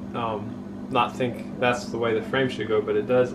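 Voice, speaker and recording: A man's voice over noticeable background noise. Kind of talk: tutorial. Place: home room. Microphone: camera far.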